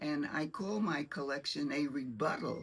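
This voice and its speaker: At a moderate pace, a woman with an American accent speaks in a very deep, low voice with ordinary pitch variation. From United States. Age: 90s. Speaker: retired teacher and collector. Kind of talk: guided tour presentation. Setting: garage.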